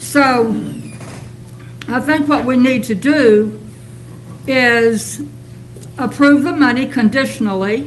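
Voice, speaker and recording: Amid noticeable background noise and audible room echo, a woman speaks very slowly in a high pitch with ordinary pitch variation and long, frequent pauses. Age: 70s. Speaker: public commenter at city council. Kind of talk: public comment at council meeting.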